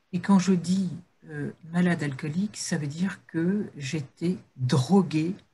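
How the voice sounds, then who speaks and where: A woman's fairly low, dark, mellow voice, somewhat breathy, at a very slow pace. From northern France. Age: 50s. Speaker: recovered addict giving prevention talks. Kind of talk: testimony talk in a webinar. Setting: video call webinar.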